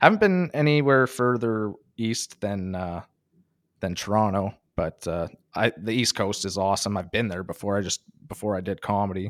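With a slight northern Ontario accent, a man speaks at a moderate pace in a fairly low pitch, with ordinary pitch variation, on a very clean recording with a silent background. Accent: Canadian, slight northern Ontario. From northern Ontario, Canada. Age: 30s. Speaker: stand-up comedian. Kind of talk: casual interview chat.

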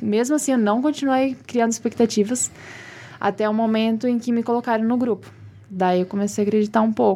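Using an unremarkable speaking voice, a woman talks at a fairly quick pace with a fairly high pitch, fairly even intonation and very even loudness. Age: 20s. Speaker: beauty pageant queen. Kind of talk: casual interview chat.

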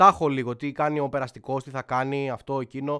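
Fairly high male voice with a bright, sharp tone at a moderate pace, in a very clean recording with a silent background. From Athens, Greece. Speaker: podcast host. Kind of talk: casual monologue. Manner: animated.

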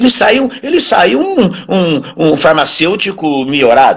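The man's voice sits high in pitch. It ranges very widely up and down. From interior of Brazil. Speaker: physical education professor. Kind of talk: casual interview. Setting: live stream.

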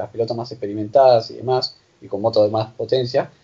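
A man speaks with a Rioplatense accent. His pace is moderate. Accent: Argentine Spanish (rioplatense). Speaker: podcast host. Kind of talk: interview. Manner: halting.

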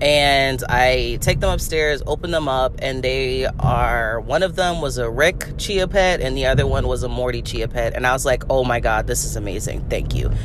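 Noticeable background noise, audible room echo, and hardly any pauses. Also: woman, moderate pace. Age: 30s. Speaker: podcast host. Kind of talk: casual monologue. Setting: in a car. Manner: casual, many fillers and laughs.

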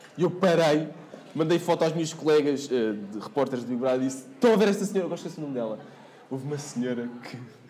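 This man talks very fast with lively intonation at a fairly high pitch. Noticeable background noise and audible room echo fill the recording. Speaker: TV reporter and MC. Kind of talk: casual chat.

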